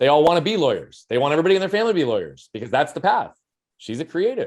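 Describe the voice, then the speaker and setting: A man talks loudly at a very fast pace in a high pitch. His pitch swings very widely. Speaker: performance coach and speaker. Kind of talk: interview conversation.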